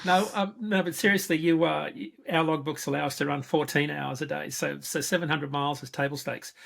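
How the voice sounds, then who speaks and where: Australian accent at a fairly quick pace. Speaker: freight market analyst. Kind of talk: interview.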